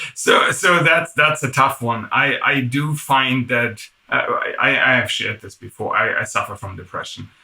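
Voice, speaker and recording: This man has a German accent and a medium pitch. He talks at a moderate pace with ordinary pitch variation. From Germany. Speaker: tech executive. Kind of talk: interview.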